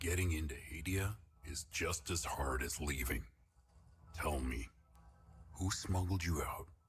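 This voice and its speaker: A man's put-on character voice, very deep and low in pitch, at a fairly slow pace with long, frequent pauses. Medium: video game. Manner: calm, cold, controlled.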